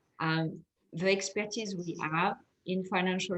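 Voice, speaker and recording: A woman talks at a moderate pace with a French accent. Her voice is somewhat breathy. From France. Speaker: fintech investor. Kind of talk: panel discussion.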